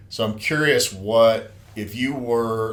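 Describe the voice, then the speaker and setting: The speech moves at a very slow pace with ordinary pitch variation, and audible room echo fills the recording. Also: man. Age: 50s. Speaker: podcast host. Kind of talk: casual chat.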